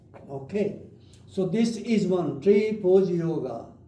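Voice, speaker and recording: A man speaks very slowly in a high pitch, with ordinary pitch variation and audible room echo. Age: 80s+. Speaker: doctor leading yoga class. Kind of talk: guided exercise instruction. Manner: halting.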